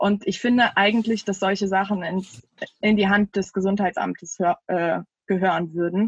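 A woman of medium pitch leaves long, frequent pauses. Her voice is somewhat breathy, with a dry, close sound and no echo. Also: fairly even intonation, moderate pace, very even loudness. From Düsseldorf, Germany. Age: 30s. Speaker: local politician and candidate. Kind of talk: casual interview. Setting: video call. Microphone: poor sound quality.

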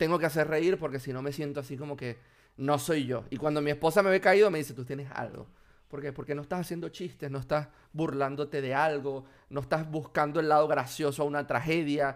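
In a Venezuelan accent, a man talks at a fairly quick pace with a fairly high pitch and fairly even intonation, on a very clean recording with a silent background. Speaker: software developer. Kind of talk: casual interview.

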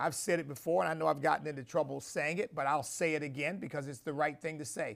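The tone is animated. Vocal fry runs through the voice. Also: man. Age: 60s. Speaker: bishop and show host. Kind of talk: sermon-style commentary. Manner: halting.

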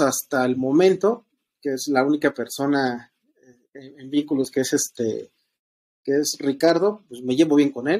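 Ordinary pitch variation comes through in a central Mexican accent, with a dry, close sound and no echo. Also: man. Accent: Mexican Spanish (central Mexico). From Estado de México, Mexico. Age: 30s. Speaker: podcast guest sharing polyamory experience. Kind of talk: casual conversation, personal testimony. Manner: hesitant, many fillers and repetitions.

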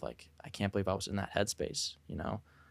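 A man with a plain, everyday voice, a fairly low pitch and a fairly quick pace. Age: 20s. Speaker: podcast host. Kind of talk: casual chat.

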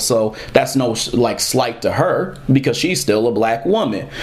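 A man's lively intonation comes through over noticeable background noise. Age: 30s. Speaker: podcast host and comic creator. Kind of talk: solo commentary podcast.

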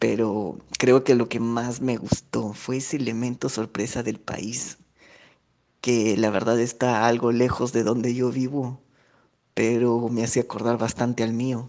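Against a quiet background, a man speaks at a fairly slow pace in a medium pitch, his intonation monotone and flat. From Peru. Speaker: former visitor to Mexico. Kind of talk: recorded testimonial.

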